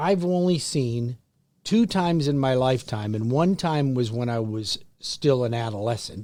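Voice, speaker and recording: A man with an ordinary speaking voice, talking at a moderate pace. His pitch is medium and his intonation is lively. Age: 60s. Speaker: radio co-host, mortgage lender. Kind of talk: casual chat.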